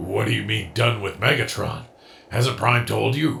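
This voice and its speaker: Using a put-on character voice, a man speaks at a moderate pace with a raspy sound and a medium pitch. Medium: fan dub. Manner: dry, sardonic.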